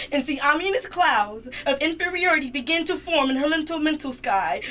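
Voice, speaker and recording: A high-pitched woman at a fairly quick pace, with noticeable background noise. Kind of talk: slam poetry performance. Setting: radio studio.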